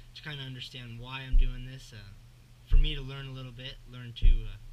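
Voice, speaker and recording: A man with an American accent speaks at a fairly quick pace in a medium pitch. His intonation stays fairly even, and there is audible room echo. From US Northwest. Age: young. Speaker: fishing YouTuber. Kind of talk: casual vlog intro and tutorial. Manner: hesitant, many fillers.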